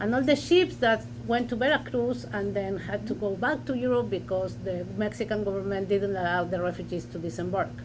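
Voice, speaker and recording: A woman with a Spanish accent talks at a fairly quick pace with hardly any pauses, amid audible room echo and noticeable background noise. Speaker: historian. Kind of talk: academic panel discussion. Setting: university lecture with audience and Zoom. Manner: halting.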